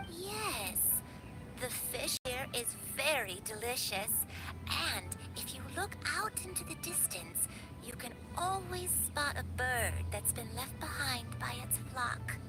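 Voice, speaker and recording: A cartoonish character voice speaks at a fairly slow pace. Loud music plays in the background. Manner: slow, gentle, hesitant.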